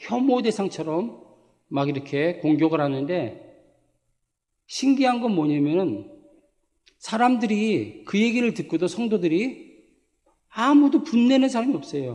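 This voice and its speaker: Pitched high, a man talks at a fairly slow pace with very wide pitch swings. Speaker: missionary pastor. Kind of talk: sermon. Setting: church. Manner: halting, with self-corrections.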